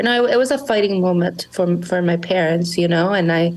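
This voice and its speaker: This woman has a medium pitch and ordinary pitch variation. She speaks at a moderate pace with noticeable background noise behind her. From Monterrey, Mexico. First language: Spanish. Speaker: small business founder. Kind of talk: podcast interview. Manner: halting, many repeated words.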